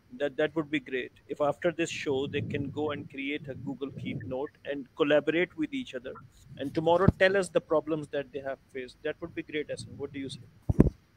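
A man with an unremarkable speaking voice talks at a fairly quick pace and fairly high pitch, with fairly even intonation. His loudness swings a lot over light background noise. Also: hardly any pauses. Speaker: online class co-instructor. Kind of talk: online class discussion. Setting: video call. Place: home room. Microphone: video call.

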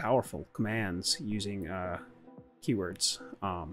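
A man speaks in a fairly low voice with fairly even intonation. Faint music plays in the background. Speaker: streamer giving a tutorial. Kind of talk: tutorial.

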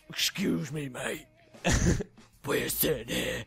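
A man puts on a raspy character voice with a fairly high pitch. He talks at a fairly slow pace.

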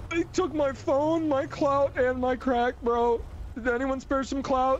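A man performs a put-on character voice at a fairly slow pace with clear background noise. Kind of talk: comic overacting. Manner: frantic, bro-speak, self-pitying.

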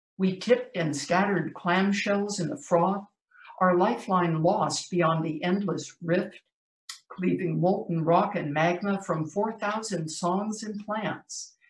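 Very slowly, a woman with an American accent speaks with ordinary pitch variation. Audible room echo and light background noise are present. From US. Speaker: poet. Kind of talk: poetry reading. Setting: video call. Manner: measured, vivid, dramatic delivery; conversational, light-hearted between poems. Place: home room. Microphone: video call.

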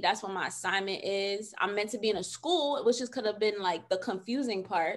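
Against a quiet background, a woman with an American accent talks at a fairly quick pace, animated and bright, sharp in tone, with lively intonation. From New York City. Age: 30s. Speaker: social worker and podcast host; podcast host. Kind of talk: casual interview chat. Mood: emphatic, faith-inspired. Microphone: video call.

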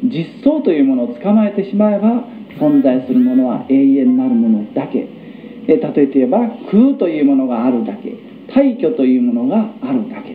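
A man with a high-pitched voice speaks with very wide pitch swings. Background noise is noticeable, and room echo is audible. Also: moderate pace. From Japan, Hagi, Yamaguchi. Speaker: Buddhist lecturer. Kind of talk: Buddhist lecture.

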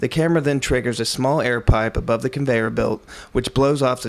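In a normal speaking voice, this man moves along at a fairly quick pace. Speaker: narrator. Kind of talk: scripted narration, vintage educational film style. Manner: measured, formal, crisp and authoritative; even, steady pace, step-by-step explaining.

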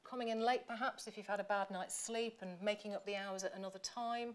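A woman with an English accent, at a fairly quick pace. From England. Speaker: professor; professor giving inaugural lecture. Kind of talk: lecture. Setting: stage with audience. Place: hall. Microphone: podium.

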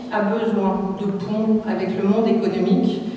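In strong room echo with light background noise, a woman speaks at a very slow pace and a fairly high pitch. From southwestern France (Bordeaux, Charente-Maritime). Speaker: politician, regional list leader. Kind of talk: campaign speech. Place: hall.

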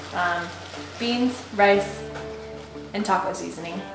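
A woman speaks with audible room echo and clear music in the background. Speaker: home cook vlogger. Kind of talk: cooking tutorial chat. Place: kitchen. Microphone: camera far.

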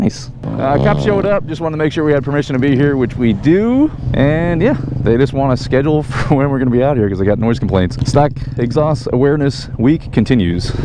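Over noticeable background noise, a man talks at a very fast pace with lively intonation, the sound dry and free of echo. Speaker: motorbike vlogger. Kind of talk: casual vlog chat. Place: motorbike. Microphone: helmet.

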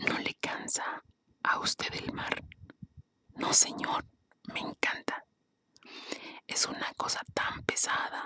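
Someone whispers at a very slow pace, with long, frequent pauses. The sound is dry and close, with no echo. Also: woman. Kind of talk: reading aloud from a textbook, fable and poem. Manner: soft, whispered.

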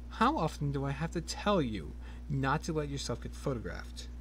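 Noticeable background noise runs under a put-on character voice that hisses and moves at a fairly quick pace. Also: man. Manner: hissing, scolding.

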